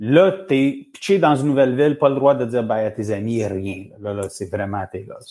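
A man talks in a normal speaking voice at medium pitch and a moderate pace. His intonation is lively, and his loudness swings widely. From Montreal, Quebec. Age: 40s. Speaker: men's support group founder and coach. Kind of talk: casual interview. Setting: live stream.

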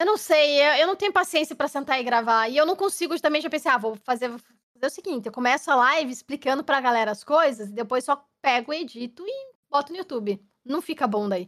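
With a southern Brazilian accent, a woman speaks at a fairly quick pace in a high pitch with lively intonation. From Curitiba, southern Brazil. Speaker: game streamer. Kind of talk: casual chat. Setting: live stream podcast.

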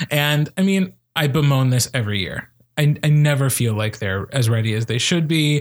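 With a plain, everyday voice, a man speaks at a moderate pace in a fairly high pitch with lively intonation. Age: 30s. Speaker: podcast host and speech coach. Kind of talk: casual chat.

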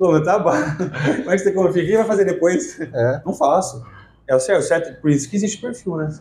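Somewhat breathy and dark, mellow in tone, a man speaks at a fairly quick pace with lively intonation. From Brazil, Ribeirão Preto (São Paulo interior). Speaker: insurance franchise owner. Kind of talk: casual interview chat.

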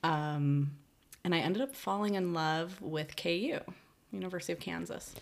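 A woman with an American accent and fairly low pitch has an unremarkable speaking voice. She speaks at a moderate pace with lively intonation. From Chicago, north side. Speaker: decorative painter. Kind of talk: casual chat. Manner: laughs often.

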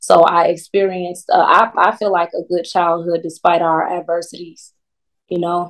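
An American accent marks this woman's fairly low voice, delivered at a moderate pace in a monotone, flat intonation. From Chicago, US Midwest. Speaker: singer and recording artist. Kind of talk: casual interview chat.

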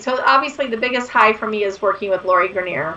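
A woman at a medium pitch and a fairly quick pace, with a bright, sharp tone and ordinary pitch variation

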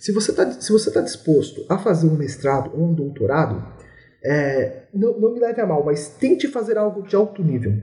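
A man speaks with a high pitch and a dark, mellow tone. His pitch swings very widely. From Brazil, São Paulo city. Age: 20s. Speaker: engineering graduate student. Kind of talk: interview.

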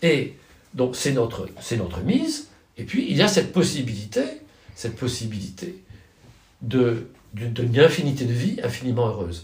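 A man at medium pitch with very wide pitch swings, a moderate pace and long, frequent pauses, amid audible room echo and noticeable background noise. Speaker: professor of political philosophy. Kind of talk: interview. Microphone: poor sound quality.

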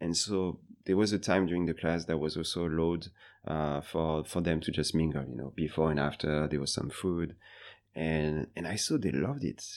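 Against a quiet background, a man with a French accent speaks at a moderate pace, his very deep, low pitch showing ordinary variation. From France, Paris. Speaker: bartender and bar manager. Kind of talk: interview. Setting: in person, Singapore.

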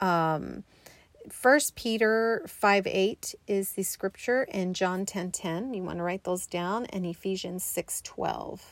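Very slowly, a woman speaks with a warm tone. Her pitch is medium, with ordinary variation. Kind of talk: pep talk mixed with a Bible study lesson. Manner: emphatic, encouraging, declaring affirmations with repeated 'you are' and 'don't let'; warm, direct, conversational, slows down to explain.

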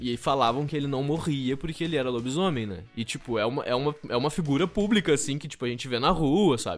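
A man's very fast, almost pause-free speech at a fairly high pitch with ordinary pitch variation, music in the background. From Rio Grande do Sul, Brazil (Canguçu). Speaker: actor and theatre teacher. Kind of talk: casual interview.

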